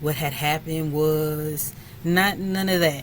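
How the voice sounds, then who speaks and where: Noticeable background noise and audible room echo come through. A woman speaks at a very deep, low pitch with ordinary pitch variation. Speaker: spiritual content creator. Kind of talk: casual chat to camera.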